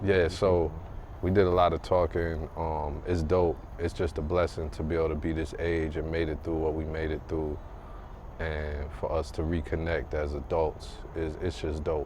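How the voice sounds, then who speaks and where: Somewhat breathy and monotone, a man speaks in a very deep, low voice. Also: moderate pace. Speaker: podcast co-host. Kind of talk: casual chat. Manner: soft-spoken. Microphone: too quiet, low level.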